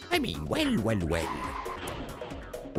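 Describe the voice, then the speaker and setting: Someone performs in a put-on character voice. Loud music plays in the background. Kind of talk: character voice used for a video game character.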